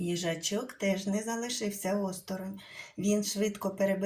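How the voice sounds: This is a natural reading voice. Nothing further stands out.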